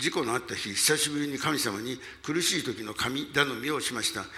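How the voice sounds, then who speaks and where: This man talks at a moderate pace in a medium pitch, with a bright, sharp tone and ordinary pitch variation. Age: 80s. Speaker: pastor. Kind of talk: sermon. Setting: church.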